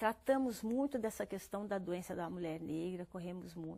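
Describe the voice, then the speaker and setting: On a very clean recording with a silent background, a woman speaks at a fairly slow pace with a dark, mellow tone. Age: 60s. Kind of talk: TV interview.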